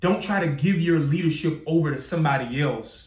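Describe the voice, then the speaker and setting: A man talks with ordinary pitch variation in a somewhat breathy voice, with audible room echo around him. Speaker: podcast host, motivational speaker. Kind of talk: motivational talk.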